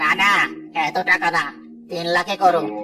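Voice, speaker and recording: A man doing a cartoonish character voice, pitched high. He speaks at a moderate pace over clear background noise. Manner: pleading when caught.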